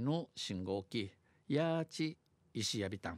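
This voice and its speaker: This man's delivery is very slow, with lively intonation. The sound is dry and close with no echo, on a very clean recording with a silent background. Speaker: dialect news presenter. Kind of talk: radio news read in Okinawan dialect and Japanese.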